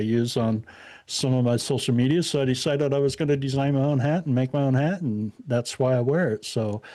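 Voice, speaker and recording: In a very clean recording with a silent background, a man with a Midwestern US accent speaks fairly quickly at medium pitch, with fairly even intonation and a dark, mellow tone. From Indiana. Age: 60s. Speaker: podcaster and activist guest. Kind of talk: casual interview chat. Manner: halting, many fillers.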